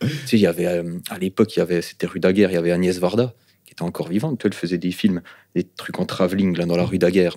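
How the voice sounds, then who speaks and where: The speaker has a slight eastern French accent. The pace is fairly quick. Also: man. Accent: slight non-Parisian, eastern French. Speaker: rapper. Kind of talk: podcast interview. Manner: animated, hesitant fillers.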